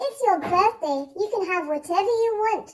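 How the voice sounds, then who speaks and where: The speaker puts on a squeaky character voice with lively intonation. The pace is moderate. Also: woman, extremely high pitch for a woman. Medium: read story. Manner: brisk, firm.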